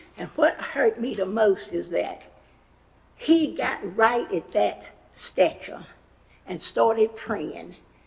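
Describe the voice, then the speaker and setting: The speech moves at a very slow pace with long, frequent pauses over noticeable background noise. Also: woman. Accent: western North Carolina. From US South. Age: 80s+. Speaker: public commenter. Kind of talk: public comment testimony. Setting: county commission meeting.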